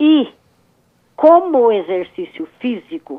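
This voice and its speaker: A woman talks with very wide pitch swings. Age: 70s. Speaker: caller. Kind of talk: phone-in question. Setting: phone call.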